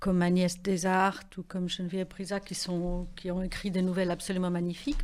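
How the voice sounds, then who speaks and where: Here a woman speaks in a medium pitch. Her pace is moderate. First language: not French (speaking French). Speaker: writer. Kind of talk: radio interview. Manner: hesitant, many fillers.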